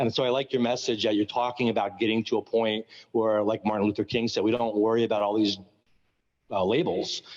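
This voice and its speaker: An American accent at a fairly quick pace, with fairly even intonation over a quiet background. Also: man. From New York. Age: 60s. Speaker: school board member. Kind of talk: public meeting comment. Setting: school gym meeting. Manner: halting, with repeated words and fillers.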